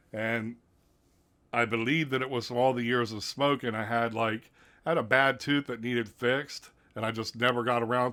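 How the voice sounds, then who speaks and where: A man speaks at a moderate pace in a medium pitch with ordinary pitch variation and a bright, sharp tone, on a very clean recording with a silent background. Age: 40s. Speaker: vape product reviewer. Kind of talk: farewell video monologue. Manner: casual.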